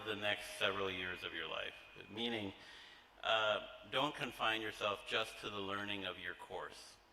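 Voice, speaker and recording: Over noticeable background noise, a man with an American accent talks in a fairly low pitch. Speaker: college trustee. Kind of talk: welcome speech to new students. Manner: hesitant with many fillers.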